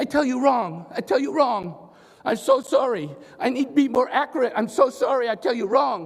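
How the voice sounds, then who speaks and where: A man puts on a character voice with an extremely high pitch. He keeps a moderate pace. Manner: apologetic, distressed.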